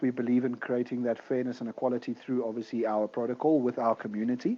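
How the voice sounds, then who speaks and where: A man's dark, mellow voice at a medium pitch, fairly even in intonation and fairly quick in pace. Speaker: crypto project team member. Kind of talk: live audio AMA discussion.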